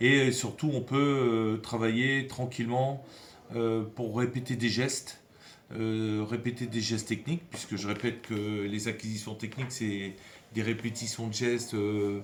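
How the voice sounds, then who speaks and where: The speaker talks at a fairly slow pace with fairly even intonation, and audible room echo surrounds the voice. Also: man. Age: 60s. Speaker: football academy director, former pro player. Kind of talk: interview. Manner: halting, many hesitations.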